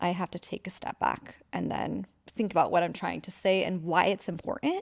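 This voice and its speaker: With an American accent and vocal fry, a woman is heard in a very clean recording with a silent background and a dry, close sound with no echo. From Northern California. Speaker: salon owner. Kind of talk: interview. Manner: soft-spoken.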